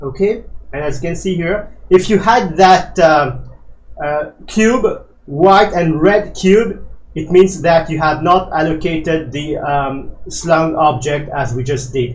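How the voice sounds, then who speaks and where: Speaking very slowly in a room with audible echo, a man with a fairly high pitch shows ordinary pitch variation. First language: not English. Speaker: flight simulator tutorial creator. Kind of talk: tutorial. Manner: hesitant, many fillers.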